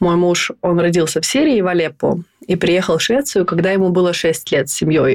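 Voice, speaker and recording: A plain, everyday voice comes from a woman speaking at a moderate pace, fairly low in pitch with ordinary pitch variation. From Estonia. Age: 30s. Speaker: stylist and blogger. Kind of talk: casual chat. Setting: video call.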